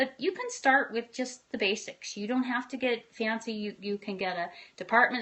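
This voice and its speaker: At a fairly quick pace, a woman talks with a fairly high pitch. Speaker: running and triathlon coach. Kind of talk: live-stream tutorial. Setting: live video broadcast. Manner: fast; animated.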